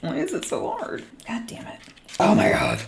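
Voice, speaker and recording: This put-on character voice is raspy and fairly high in pitch. It moves at a moderate pace. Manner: growly, frustrated.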